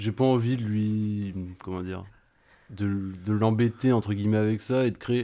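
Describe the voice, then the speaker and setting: At a fairly slow pace, a dark, mellow voice holds a monotone, flat intonation against a quiet background. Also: man, fairly low pitch for a man. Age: 20s. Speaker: vocational sales teacher. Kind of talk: radio panel discussion.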